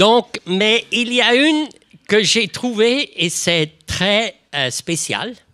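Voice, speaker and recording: With a non-native accent, a high-pitched man speaks very slowly in a raised, projected voice with lively intonation, recorded dry and close with no echo. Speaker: retired addiction organization director. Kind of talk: panel discussion. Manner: halting.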